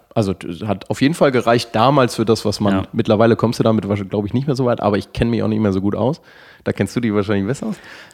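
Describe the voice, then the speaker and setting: Over a quiet background, a man talks very fast at a medium pitch. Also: ordinary pitch variation. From northern Germany. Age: 30s. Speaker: sports scientist and fitness studio manager. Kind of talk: casual interview conversation. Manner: halting, many fillers and restarts.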